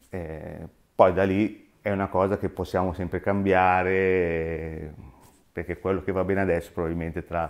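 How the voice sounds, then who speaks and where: With a very deep, low pitch, a man speaks in a monotone, flat way at a moderate pace, leaving long, frequent pauses. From Milan, northern Italy. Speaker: independent optician, shop owner; interviewee. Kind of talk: interview. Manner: halting. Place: home room.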